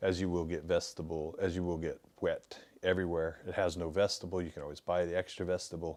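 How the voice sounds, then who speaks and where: The speech comes at a very fast pace in an American accent. The intonation stays monotone and flat. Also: man, very deep, low pitch for a man. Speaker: outdoor gear shop owner. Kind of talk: product review. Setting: shop studio. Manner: casual, hesitant with fillers.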